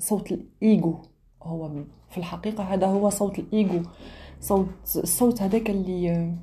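A woman speaks with an Algerian accent at a fairly slow pace. Her medium-pitched voice is somewhat breathy, with a dark, mellow tone. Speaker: podcaster. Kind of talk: reflective monologue. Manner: halting.

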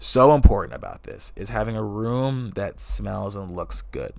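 A man speaks with an American accent. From Wisconsin, US. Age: 20s. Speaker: podcast host and magician. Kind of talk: casual solo monologue, unfiltered. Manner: casual, profane, conversational; soft, relaxed tone.

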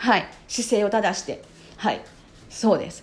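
Noticeable background noise accompanies a woman speaking in an animated tone. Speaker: podcast host. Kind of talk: solo monologue podcast. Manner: animated, frequent filler words.

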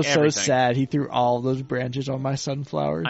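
At a moderate pace and with ordinary pitch variation, the speaker talks against noticeable background noise. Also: man, medium pitch for a man. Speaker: podcast co-host. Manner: jovial, sounds like having a good time.

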